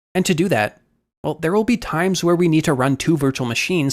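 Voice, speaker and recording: A man races along at a very fast pace. His fairly high voice makes very wide pitch swings. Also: very clean recording, silent background. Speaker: cybersecurity instructor. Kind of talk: tutorial. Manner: casual.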